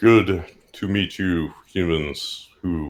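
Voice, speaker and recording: A man's put-on character voice, very deep and low, with fairly even intonation. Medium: actual play. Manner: formal, stiff.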